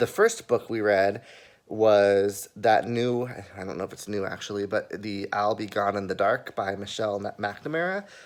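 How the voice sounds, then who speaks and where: Speaking at a moderate pace, a man with a fairly low voice keeps his intonation fairly even while his loudness swings a lot. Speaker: vlogger. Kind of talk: casual vlog chat. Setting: restaurant. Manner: quiet.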